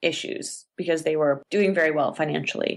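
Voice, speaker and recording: A woman with a normal speaking voice talks at a fairly quick pace in a Canadian accent, her intonation lively. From Canada. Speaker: actor. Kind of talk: podcast interview answer.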